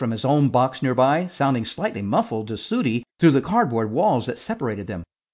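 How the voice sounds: What comes through is a natural reading voice.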